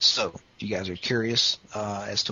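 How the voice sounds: A man's fairly low voice, bright and sharp in tone with a slightly husky edge.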